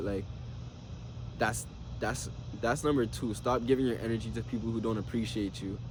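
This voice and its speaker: At a moderate pace, a man talks in a medium pitch, and room echo can be heard. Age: 20s. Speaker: motivational vlogger. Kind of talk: unscripted video journal monologue. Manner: casual, repetitive phrasing.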